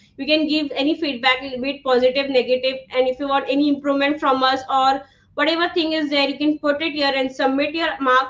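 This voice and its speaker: A loud woman with an Indian accent talks at a high pitch and a fairly quick pace, hardly any pauses, and monotone, flat intonation. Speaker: online instructor. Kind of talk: live online class. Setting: livestream.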